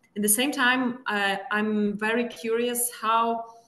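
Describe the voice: A woman speaks at a fairly slow pace with a fairly bright tone and fairly even intonation, amid audible room echo.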